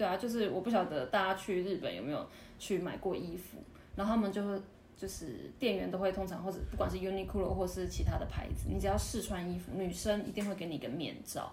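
Audible room echo and noticeable background noise are both present. Over them, a woman speaks very fast. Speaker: retail and service worker in Japan. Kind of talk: casual interview chat.

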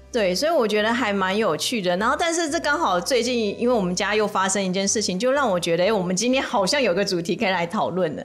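The speech races at a very fast pace with lively intonation and hardly any pauses. Noticeable background noise runs underneath. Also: woman, medium pitch for a woman. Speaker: lawyer and podcast host. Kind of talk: casual chat.

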